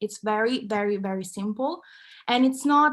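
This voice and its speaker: With an Italian accent, a woman speaks in a fairly high pitch. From Italy, Milan. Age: 20s. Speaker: content creator and activist. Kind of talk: talk.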